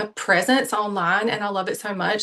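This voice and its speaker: A woman speaks with an American accent at a medium pitch. Her tone is bright and sharp. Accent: Southern US, lighter than it used to be. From US South, Savannah, Georgia. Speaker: manifestation coach. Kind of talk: online interview.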